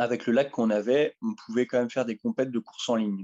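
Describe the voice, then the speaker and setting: The man's tone is dark and mellow. The sound is dry and close, with no echo. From northeastern France, Ardennes (Sedan). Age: 30s. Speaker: kayak athlete. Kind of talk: interview conversation. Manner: halting, many fillers.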